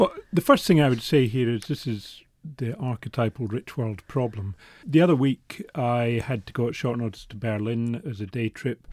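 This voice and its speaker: Medium-pitched male speech at a moderate pace with ordinary pitch variation. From Scotland. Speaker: newspaper reporter. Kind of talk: interview.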